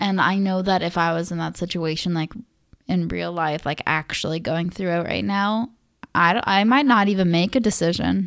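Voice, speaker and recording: A woman speaks at a moderate pace in a fairly low pitch with ordinary pitch variation, using a plain, everyday voice. The recording is very clean with a silent background. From Russia (Moscow), then US from age six. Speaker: podcast co-host. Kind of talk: casual chat. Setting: home studio. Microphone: new dynamic microphone.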